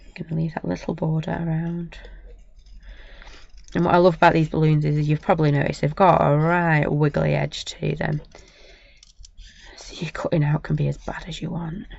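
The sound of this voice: A woman speaks in a low, croaky, husky voice with vocal fry and little pitch movement. Her pauses are long and frequent. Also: moderate pace, slightly mellow tone.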